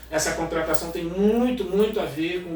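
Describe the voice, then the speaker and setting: Amid noticeable background noise and audible room echo, a man talks at a moderate pace with lively intonation. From Niterói, Rio de Janeiro, Brazil. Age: 40s. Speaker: journalist and music producer. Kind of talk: casual interview chat. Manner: animated.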